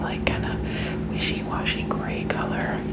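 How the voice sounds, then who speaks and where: Noticeable background noise runs behind a woman's voice. She sounds relaxed and keeps a moderate pace. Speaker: ASMR artist who edits her own videos. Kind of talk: ASMR whispering ramble with slime. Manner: soft, whispered, relaxed.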